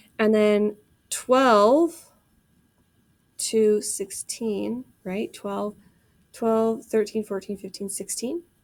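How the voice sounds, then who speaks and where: Recorded very cleanly over a silent background, the speech moves at a very slow pace with long, frequent pauses and ordinary pitch variation. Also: woman, fairly high pitch for a woman. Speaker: math teacher. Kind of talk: recorded classroom lesson video. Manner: casual, conversational.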